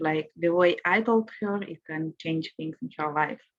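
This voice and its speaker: In a dry, close sound with no echo, a woman with a non-native accent speaks at a fairly low pitch. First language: not English. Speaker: participant, new mother. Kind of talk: live group video call. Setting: live video call. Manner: halting.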